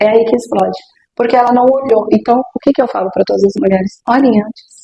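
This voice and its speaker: The voice has a dark, mellow tone and vocal fry, moving at a very fast pace with ordinary pitch variation. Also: woman, fairly high pitch for a woman. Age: 60s. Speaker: sexologist. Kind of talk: interview.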